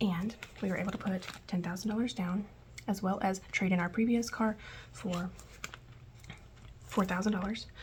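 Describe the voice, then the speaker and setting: Soft-spoken and at medium pitch, a woman talks at a moderate pace with fairly even intonation and long, frequent pauses, with noticeable background noise behind her. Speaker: budgeting vlogger. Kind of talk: casual tutorial vlog. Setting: at home. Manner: soft-spoken, quiet.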